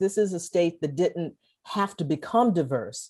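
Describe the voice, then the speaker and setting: In an American accent, a woman with a fairly low pitch and a dark, mellow tone speaks with lively intonation. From Texas. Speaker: author and historian. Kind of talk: interview conversation.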